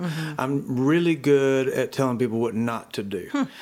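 Speaking in a Southern US accent, a man keeps a moderate pace with ordinary pitch variation. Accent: Southern US (Georgia). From US South, rural Georgia. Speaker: worship pastor. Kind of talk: interview.

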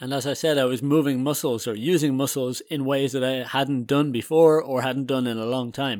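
A man speaks at a moderate pace and medium pitch, with fairly even intonation, in a plain, everyday voice. The recording is very clean, with a silent background. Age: 30s. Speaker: podcast host. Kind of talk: casual solo monologue.

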